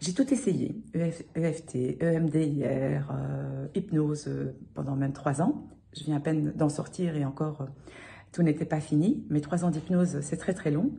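A woman speaks very slowly at a very deep, low pitch with fairly even intonation. Vocal fry runs through her voice. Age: 40s. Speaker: client testimonial. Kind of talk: testimony. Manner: halting.

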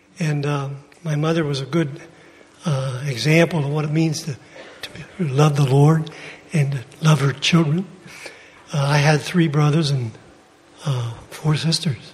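The voice moves at a fairly slow pace with fairly even intonation and long, frequent pauses, over noticeable background noise. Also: man, fairly high pitch for a man. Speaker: church member. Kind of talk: testimony.

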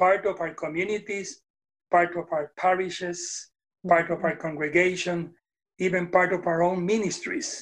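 The speaker has a Puerto Rican accent, heard against a quiet background. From Puerto Rico. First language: Spanish. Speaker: retired Methodist minister. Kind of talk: casual interview conversation. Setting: video call.

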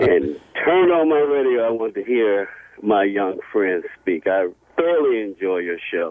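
Noticeable noise sits behind this man as he talks at a moderate speed, his pitch swinging very widely. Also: medium pitch for a man. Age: 50s. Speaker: caller. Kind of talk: call-in chat.

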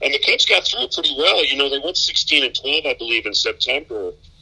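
The speaker has an American accent, and there is noticeable background noise. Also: man. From Michigan, US Midwest. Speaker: baseball play-by-play announcer. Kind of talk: casual interview.

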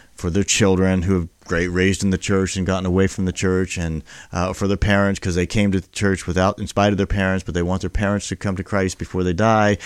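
A man with a very deep, low pitch and an American accent talks at a very fast pace, with hardly any pauses and monotone, flat intonation. The recording is very clean, with a silent background and a dry, close sound with no echo. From Texas, military family. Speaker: pastor. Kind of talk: casual chat.

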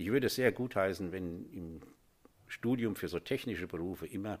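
His pitch very deep and low, the man talks at a moderate pace, his pitch varying in an ordinary way. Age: 60s. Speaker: master plumber and heating engineer, business owner. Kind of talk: interview. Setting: studio. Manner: hesitant, with filler sounds.

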